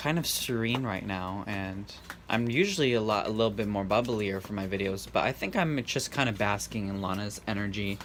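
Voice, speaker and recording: A man's fairly low voice at a moderate pace, over noticeable background noise. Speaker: tarot reader. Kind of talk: tarot reading monologue. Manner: monotone, bland.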